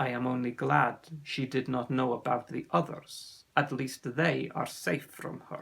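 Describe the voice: A man puts on a character voice at a medium pitch, with vocal fry, a fairly bright tone, a slightly husky edge, fairly even intonation and a fairly slow pace.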